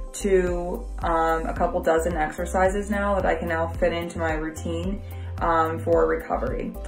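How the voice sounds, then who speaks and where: Clear music plays in the background. A woman is speaking over it. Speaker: client giving a review. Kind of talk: testimonial, casual talk to camera. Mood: positive, grateful. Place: home room. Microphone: phone near.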